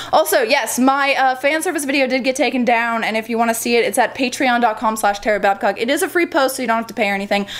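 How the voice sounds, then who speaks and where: A high-pitched woman speaks at a very fast pace, with hardly any pauses and ordinary pitch variation. Background noise is noticeable. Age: 20s. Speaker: model and gaming YouTuber. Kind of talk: casual vlog.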